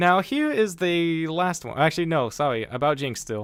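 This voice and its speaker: On a very clean recording with a silent background, a man with a fairly high voice speaks at a moderate pace with very wide pitch swings. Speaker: livestreamer. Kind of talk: casual livestream chat. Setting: live stream. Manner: halting, stuttering.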